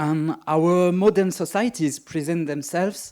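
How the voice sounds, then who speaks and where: A man with a French accent speaks very slowly in a dark, mellow tone with ordinary pitch variation, on a very clean recording with a silent background. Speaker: magician and writer, keynote speaker. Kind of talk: keynote lecture. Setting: conference stage.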